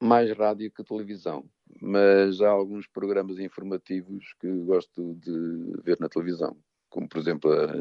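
A man speaks slowly in an unremarkable speaking voice, fairly low in pitch with fairly even intonation. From northern Portugal, Douro region. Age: 60s. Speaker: psychologist. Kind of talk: radio interview.

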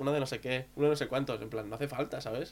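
A very fast pace and fairly even intonation, with music in the background. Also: man. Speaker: podcast co-host. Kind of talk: casual chat.

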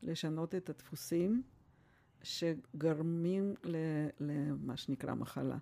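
With a Russian accent, a woman speaks at a very slow pace in a dark, mellow tone and fairly low pitch, showing ordinary pitch variation and long, frequent pauses. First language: Russian (speaking Hebrew). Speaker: family doctor. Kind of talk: interview.

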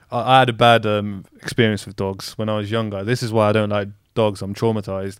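A man talks at a very fast pace in a flat monotone, his fairly low voice swinging widely in loudness. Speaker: podcast guest. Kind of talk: casual chat. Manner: moves around on the mic.

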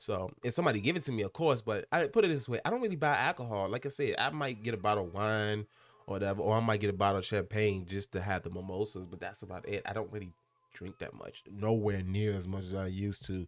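At a very fast pace, a man with a fairly low pitch talks in an animated tone with ordinary pitch variation. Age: 20s. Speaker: solo podcast host. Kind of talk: casual chat. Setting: home recording.

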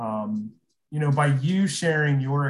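Speaking fairly slowly in an American accent, the voice is somewhat breathy with ordinary pitch variation. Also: man. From Aurora, Nebraska. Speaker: podcast co-host. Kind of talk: casual interview chat.

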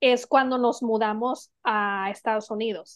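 A woman's speech comes very slowly, with fairly even intonation. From Mexico. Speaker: podcast co-host. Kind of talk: casual chat.

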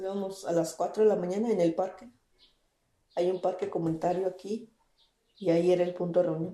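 A medium-pitched woman, monotone and flat, at a fairly quick pace with long, frequent pauses, big swings in loudness, and music in the background. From Mexico, Baja California (Mixtec family from Guerrero). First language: Mixtec (Tu'un Savi) (speaking Spanish). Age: 20s. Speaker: interpreter and community activist. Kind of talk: interview testimony.

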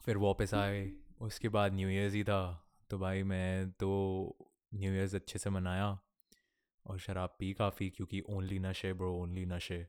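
In a very clean recording with a silent background, a man speaks at a very deep, low pitch with monotone, flat intonation. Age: 20s. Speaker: podcast host, college student. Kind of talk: casual solo chat. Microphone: new audio interface, good levels.

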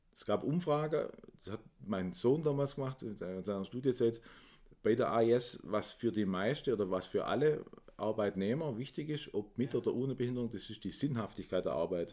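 A man speaks at a moderate pace with a dark, mellow tone and medium pitch. His intonation is lively. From Swabia, Germany. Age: 50s. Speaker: managing director of an inclusion social enterprise. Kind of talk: interview.

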